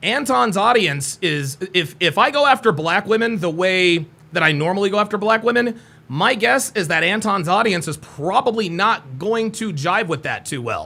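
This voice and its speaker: In a raised, projected voice, a man speaks high for a male and at a moderate pace, with a bright, sharp, confident tone and lively intonation. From United States. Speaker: dating advice youtuber. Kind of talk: live stream reaction commentary. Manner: confident, articulate diction.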